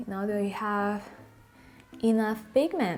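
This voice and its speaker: A woman speaks at a very slow pace in a Malagasy accent. Music plays in the background. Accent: Malagasy, non-native English. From Madagascar. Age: 20s. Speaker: beauty vlogger. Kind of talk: makeup tutorial talk to camera. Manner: casual.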